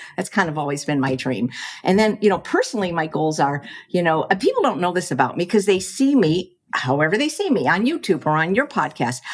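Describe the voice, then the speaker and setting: Speaking fairly quickly in an American accent, a woman uses a fairly low pitch with very wide swings. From US Midwest, Chicago. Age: 60s. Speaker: plant-based chef and cookbook author. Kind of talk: podcast interview. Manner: fast; halting, with repetitions.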